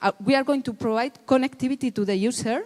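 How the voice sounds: The speaker moves at a fast pace, with a slightly mellow tone and ordinary pitch variation. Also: woman, fairly high pitch for a woman.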